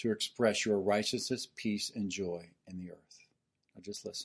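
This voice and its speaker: A man with a fairly low pitch keeps his intonation fairly even, talking at a moderate pace over a quiet background. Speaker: preacher. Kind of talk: sermon; fervent prayer led for the congregation, earnest and intimate. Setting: church. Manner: earnest, impassioned, preaching with urgency.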